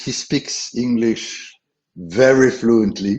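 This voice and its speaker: A man's medium-pitched voice in a French accent, with ordinary pitch variation. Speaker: travel company founder and CEO. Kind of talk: webinar presentation. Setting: online webinar. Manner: halting, many fillers.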